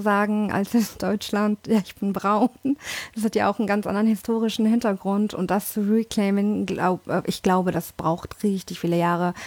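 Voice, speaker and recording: A woman at a medium pitch, monotone and flat, at a moderate pace, in a dry, close sound with no echo. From born in London, Indian family. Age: 30s. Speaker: language teacher. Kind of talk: casual chat.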